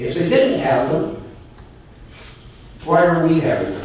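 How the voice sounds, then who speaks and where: Noticeable background noise and audible room echo are present. Through them, a man's pitch varies in an ordinary way. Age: 70s. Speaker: public commenter at city council meeting. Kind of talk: public comment.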